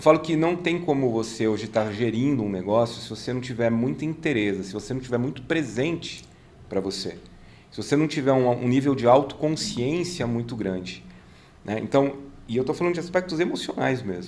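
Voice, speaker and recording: A man at medium pitch and a fairly quick pace, with lively intonation and audible room echo. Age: 50s. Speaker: business consultant and mentor. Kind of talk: casual chat.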